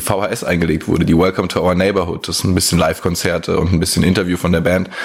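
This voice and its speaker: Through noticeable background noise comes a man with a very deep, low pitch. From Germany, Hesse (Rodgau area). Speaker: video producer. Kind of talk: recorded voice message.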